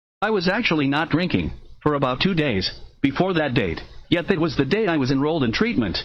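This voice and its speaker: Speaking at a fairly quick pace, a man shows vocal fry and very wide pitch swings. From United States, moved around (Midwest and South). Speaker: writer reading his own work. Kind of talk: reading aloud of his own memoir.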